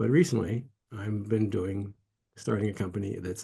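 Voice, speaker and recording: A man speaks with an American accent in a fairly low pitch. His tone is dark and mellow, and somewhat breathy. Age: 80s+. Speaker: meditation teacher and entrepreneur. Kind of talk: interview. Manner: halting, with many restarts.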